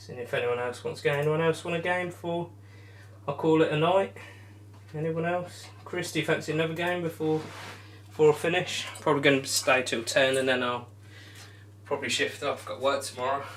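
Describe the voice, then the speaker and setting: A fairly high male voice with lively intonation, fairly quick in pace yet with long, frequent pauses. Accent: English. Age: 20s. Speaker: darts streamer. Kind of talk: live stream chat. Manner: casual.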